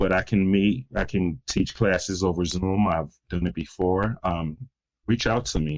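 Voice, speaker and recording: With an American accent, a man speaks at a fairly slow pace in a very deep, low pitch, keeping ordinary pitch variation and very even loudness. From US Midwest, Detroit, Michigan. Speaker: crisis intervention consultant. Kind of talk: podcast interview.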